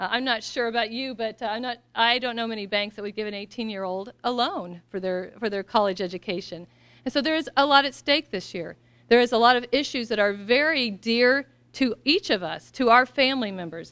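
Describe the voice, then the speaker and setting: Against a quiet background, a woman with an American accent speaks fairly quickly, her fairly high pitch showing ordinary variation. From US Midwest, Missouri. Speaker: political candidate; candidate. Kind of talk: campaign speech. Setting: event with audience. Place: hall. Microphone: podium.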